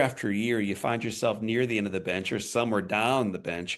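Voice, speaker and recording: Against a quiet background, a man talks at a medium pitch and a fairly quick pace. His pitch varies in an ordinary way. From Missouri. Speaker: podcast host. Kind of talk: interview.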